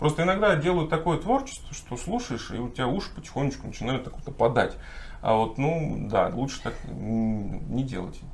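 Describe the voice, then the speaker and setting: Moderately paced male speech with noticeable background noise and audible room echo. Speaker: folk singer and songwriter. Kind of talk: casual chat. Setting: hotel room.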